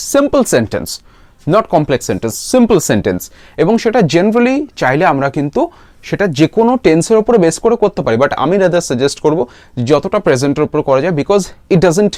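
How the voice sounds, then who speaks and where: Pitch swings very widely in this fairly quick Bengali-accented speech, heard dry and close with no echo. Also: man. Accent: Bengali-accented Indian English. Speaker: English teacher. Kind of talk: tutorial.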